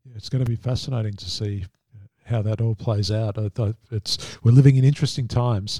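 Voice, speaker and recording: Speaking at a fairly quick pace with an Australian accent, this somewhat breathy voice has a dark, mellow tone, fairly even intonation and big swings in loudness, captured as a dry, close sound with no echo. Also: man, medium pitch for a man. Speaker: podcast host, industry council executive. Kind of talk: interview.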